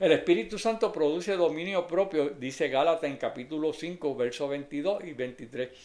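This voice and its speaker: A plain, everyday voice from a man, fairly high in pitch, at a moderate pace with ordinary pitch variation and hardly any pauses. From Puerto Rico (Adjuntas). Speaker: lay preacher. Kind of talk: sermon.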